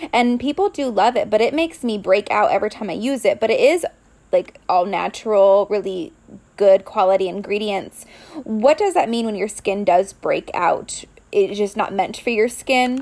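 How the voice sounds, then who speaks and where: A woman speaks at a moderate pace in a normal speaking voice. Her fairly high pitch moves with lively intonation. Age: 30s. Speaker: podcast host and coach. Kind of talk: casual interview chat.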